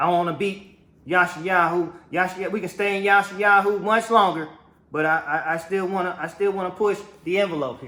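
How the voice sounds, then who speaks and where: In a room with audible echo, a man raises and projects his high-pitched voice, bright and sharp in tone. He talks at a fairly quick pace in an animated tone. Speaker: religious teacher. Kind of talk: sermon.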